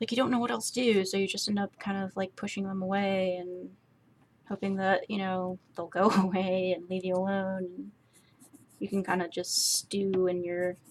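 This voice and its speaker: A woman speaks at a moderate pace with a medium pitch and fairly even intonation. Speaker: artist streaming a drawing session. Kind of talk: casual chat while drawing. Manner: soft-spoken; halting.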